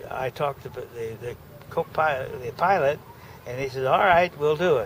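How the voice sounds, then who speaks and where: A man at a fairly high pitch, with ordinary pitch variation and a moderate pace, over noticeable background noise. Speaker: war veteran. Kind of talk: oral history recollection. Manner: halting, hesitant.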